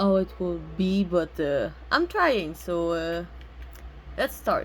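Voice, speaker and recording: A woman is speaking. She has a French accent. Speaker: gaming streamer. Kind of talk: gameplay commentary. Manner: halting, many fillers.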